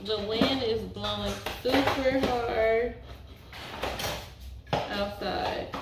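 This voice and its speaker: Loud background noise and audible room echo surround a woman's voice. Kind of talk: casual vlog chat. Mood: cheerful, excited. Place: garage. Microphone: phone near.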